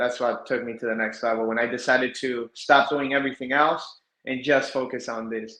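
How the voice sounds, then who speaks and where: A man with an American accent at medium pitch, in a bright, sharp tone with monotone, flat intonation, a moderate pace and hardly any pauses. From South Florida. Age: 30s. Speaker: reptile breeder. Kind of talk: podcast interview.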